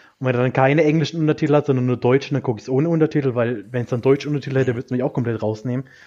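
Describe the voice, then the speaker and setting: A man talks at a very fast pace with hardly any pauses. His voice is medium in pitch with a dark, mellow tone and fairly even intonation. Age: 20s. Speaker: film fan podcast guest. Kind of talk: casual chat.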